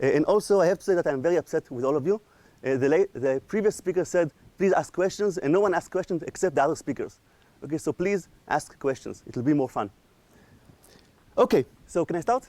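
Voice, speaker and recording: A man's high-pitched, dark, mellow voice at a very fast pace, with lively intonation, long, frequent pauses, and a dry, close sound with no echo. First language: not English. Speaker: AI researcher, lecturer. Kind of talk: lecture.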